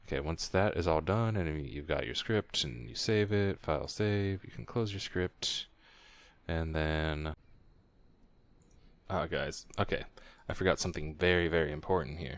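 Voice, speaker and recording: A man's very deep, low voice at a moderate pace, with ordinary pitch variation, long, frequent pauses and a very clean recording with a silent background. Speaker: gaming streamer. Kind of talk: tutorial. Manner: casual, with fillers and restarts.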